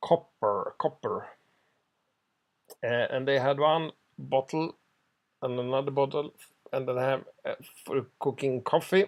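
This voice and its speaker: Speaking with a Swedish accent, a man talks at a fairly slow pace with long, frequent pauses, a fairly high pitch and ordinary pitch variation. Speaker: genealogy hobbyist. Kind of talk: ad hoc translation of a document. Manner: halting.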